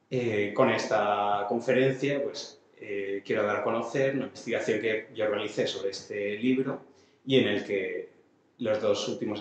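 Light background noise and audible room echo surround the recording. A man speaks at a fairly slow pace with fairly even intonation. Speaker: musicology lecturer. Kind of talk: lecture. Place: hall. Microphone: camera far.

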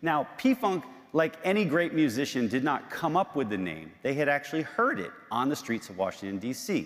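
A man speaks at a moderate pace with hardly any pauses, his fairly high pitch swinging very widely over a quiet background. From Baltimore. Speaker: historian and author; guest. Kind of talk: public lecture. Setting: church sanctuary with audience. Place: church.

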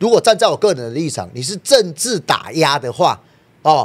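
A man's high voice, animated in tone, with lively intonation at a moderate pace, in a very clean recording over a silent background. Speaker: political party member. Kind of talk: political talk show discussion.

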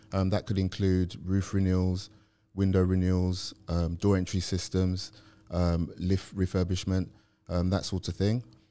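In a London accent, the voice has a dark, mellow tone, a moderate pace, very even loudness and a monotone, flat intonation. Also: man, very deep, low pitch for a man. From South London. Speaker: property professional; podcast guest. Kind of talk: interview. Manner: hesitant, many fillers. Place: studio. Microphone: studio mic.

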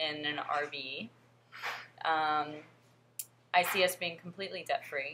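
A bright, sharp voice speaks at a very slow pace over light background noise. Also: woman. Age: 20s. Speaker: vlogger and fitness coach. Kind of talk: casual vlog monologue. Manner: hesitant with frequent fillers. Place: home room. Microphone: webcam.

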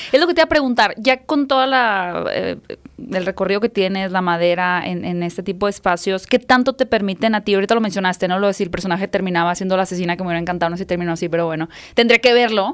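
A woman with a Mexican accent at a very fast pace, with ordinary pitch variation against a quiet background. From Mexico. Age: 30s. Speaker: podcast host. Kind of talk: interview. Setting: studio. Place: studio. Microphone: studio mic.

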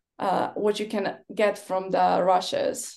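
A woman speaks at a fairly slow pace with a Polish accent. The background is quiet. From Poland. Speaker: film and TV editor. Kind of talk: panel discussion. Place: home room. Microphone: webcam.

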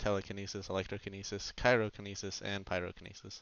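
A man's fairly low-pitched voice, clear, smooth and fairly bright in tone, with little pitch movement

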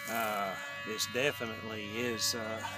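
A man speaks over music in the background, and the sound is dry with no echo. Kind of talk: casual demo commentary. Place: open country.

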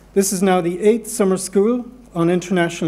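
In an Irish accent, a man with a dark, mellow tone speaks at a moderate pace. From Ireland. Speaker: law centre director, professor. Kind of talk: welcome address. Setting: stage with audience. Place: hall. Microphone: podium.

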